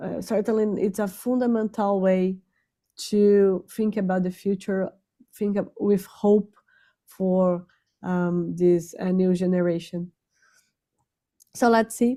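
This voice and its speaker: Speaking with a non-native accent, a woman has a dark, mellow tone at medium pitch and fairly even intonation. She goes at a very slow pace, with long, frequent pauses. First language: not English. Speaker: invited speaker on spirituality. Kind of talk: online talk. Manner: halting, many fillers.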